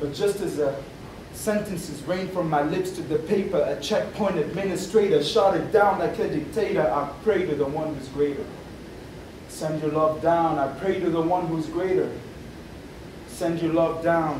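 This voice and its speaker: Noticeable background noise behind a man's high voice, moving at a moderate pace with ordinary pitch variation. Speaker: spoken word poet. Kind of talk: spoken word poetry performance to a live audience. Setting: live student event. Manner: rhythmic, rhyming, performed first-person narrative.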